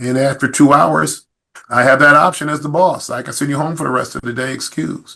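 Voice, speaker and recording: Speaking at a fairly quick pace, a man has a fairly high pitch with ordinary variation and vocal fry. His loudness swings widely. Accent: American. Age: 60s. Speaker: police chief. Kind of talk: podcast interview.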